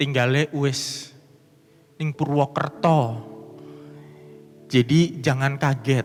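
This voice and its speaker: Speaking at a very slow pace with long, frequent pauses, a man with a strong Javanese accent uses a fairly high pitch and fairly even intonation over noticeable background noise. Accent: strong Javanese (medok). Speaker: pastor. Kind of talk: sermon.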